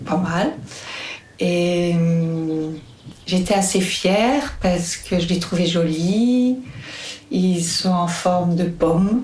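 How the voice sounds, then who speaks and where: Over noticeable background noise and audible room echo, a woman speaks very slowly with long, frequent pauses, her pitch fairly low, her pitch variation ordinary and her loudness very even. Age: 50s. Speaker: midwife. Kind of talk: testimony.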